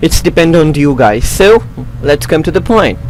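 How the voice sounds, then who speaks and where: Over noticeable background noise, a man talks with a non-native accent. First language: not English. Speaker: YouTube tutorial creator. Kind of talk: tutorial. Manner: halting.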